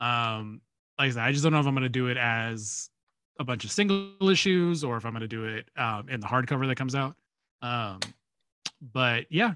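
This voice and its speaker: Lively in intonation and bright, sharp in tone, a man talks at a fairly quick pace in a medium pitch, leaving long, frequent pauses. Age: 30s. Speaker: podcast co-host. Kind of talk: casual chat.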